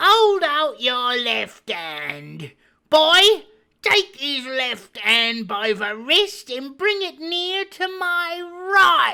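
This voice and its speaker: Soft-spoken and very slow, a man puts on a character voice at an extremely high pitch. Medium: read story. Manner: soft-spoken, menacing.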